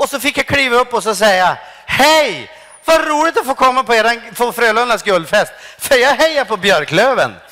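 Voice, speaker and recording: A man talks in a raised, projected voice at an extremely high pitch. His pace is moderate and his intonation lively. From Sweden. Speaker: stand-up comedian. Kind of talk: lecture. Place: stage. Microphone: handheld.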